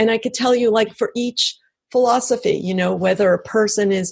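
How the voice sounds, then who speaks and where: A woman with an ordinary speaking voice, a fairly high pitch, ordinary pitch variation and an American accent. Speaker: author and brain researcher. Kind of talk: interview.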